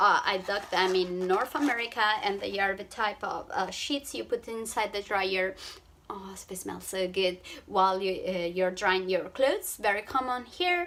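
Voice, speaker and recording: At a moderate pace, this voice carries an Italian accent, a bright, sharp tone and ordinary pitch variation. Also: woman, medium pitch for a woman. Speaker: travel vlogger. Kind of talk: vlog tutorial. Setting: hotel room. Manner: halting, with fillers.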